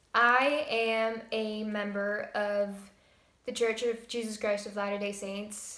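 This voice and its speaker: Audible room echo around a woman's fairly slow delivery. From Estonia. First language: Estonian. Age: 20s. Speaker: vlogger. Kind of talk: casual Q&A vlog.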